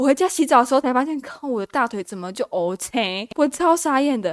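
On a very clean recording with a silent background, a woman speaks in a high pitch with very wide pitch swings. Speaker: solo podcaster. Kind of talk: casual chat. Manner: stumbles over words.

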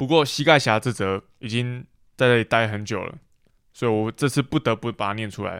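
On a very clean recording with a silent background, a man talks at a fairly quick pace in a medium pitch, the sound dry and close with no echo. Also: ordinary pitch variation. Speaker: podcast co-host. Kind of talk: casual chat.

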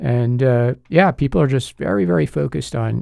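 This man talks with a New York accent. His pace is moderate. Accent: New York area American. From US Northeast, Long Island, New York. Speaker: lawyer and political analyst. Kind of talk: casual interview chat.

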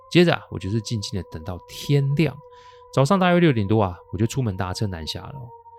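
Relaxed in tone, a man at a medium pitch speaks at a fairly quick pace with very wide pitch swings and big swings in loudness, over noticeable background noise. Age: 40s. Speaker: paranormal storyteller podcaster. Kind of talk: storytelling narration. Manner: relaxed, frequent sentence-final particles.

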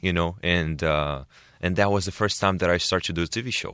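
A man with a Portuguese accent speaks at a fairly quick pace in a very deep, low pitch. His tone is bright and sharp, over a quiet background. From Brazil. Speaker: entrepreneur and TV personality. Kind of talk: interview. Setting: studio.

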